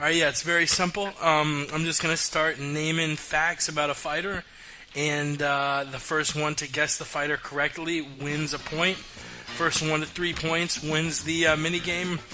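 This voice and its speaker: Over music in the background, a man with a fairly high voice speaks at a moderate pace in a monotone, flat intonation. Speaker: podcast co-host / trivia game host. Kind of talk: casual game hosting.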